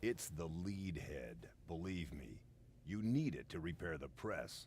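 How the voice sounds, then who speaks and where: Using a put-on character voice, a man speaks at a fairly slow pace with a very deep, low pitch and very wide pitch swings over clear background noise. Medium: video game. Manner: patient, dry.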